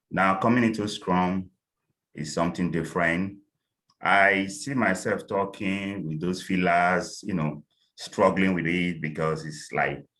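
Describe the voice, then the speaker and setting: Very deep and low in pitch, a man talks at a fairly slow pace with a bright, sharp tone. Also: ordinary pitch variation, very clean recording, silent background. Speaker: scrum master job candidate in interview prep group. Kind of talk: group discussion. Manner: deliberately slowed pace; filler words.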